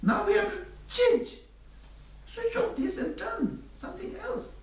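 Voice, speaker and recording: Through audible room echo, a man with an extremely high voice speaks at a fairly slow pace with very wide pitch swings. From Tibet. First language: Tibetan. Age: 60s. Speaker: Buddhist teacher. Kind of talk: dharma teaching.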